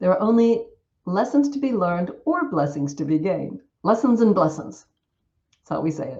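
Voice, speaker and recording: With an American accent, a woman speaks at a moderate pace in a dark, mellow, somewhat breathy medium-pitched voice that makes very wide pitch swings. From US South. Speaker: Buddhist nun and Dhamma teacher. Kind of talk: Dhamma talk. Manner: hesitant fillers, occasional stumbles.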